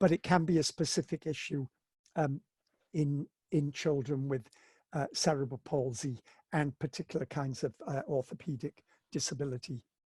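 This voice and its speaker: A man speaks in a somewhat breathy, dark, mellow tone at a fairly high pitch with ordinary pitch variation and long, frequent pauses, in a dry, close sound with no echo and a quiet background. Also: moderate pace. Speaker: lecturer on visual impairment education. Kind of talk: online webinar lecture. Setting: home, corner of bedroom, video webinar. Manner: halting.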